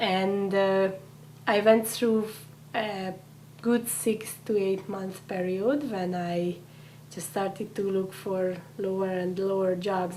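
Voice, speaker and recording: A woman with a Hungarian accent at medium pitch, very slow and with fairly even intonation, in audible room echo. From Hungary. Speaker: immigrant integration coordinator. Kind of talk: interview.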